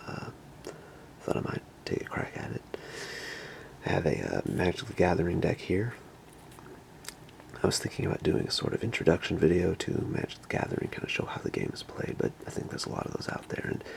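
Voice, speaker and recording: A man with a very deep, low voice speaks very fast with lively intonation, yet leaves long, frequent pauses. Noticeable background noise runs underneath. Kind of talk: ASMR whisper video.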